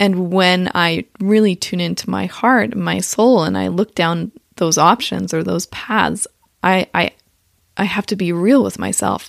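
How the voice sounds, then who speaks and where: A woman at a fairly slow pace, in a dry, close sound with no echo. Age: 30s. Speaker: podcast host. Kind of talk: motivational monologue. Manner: animated.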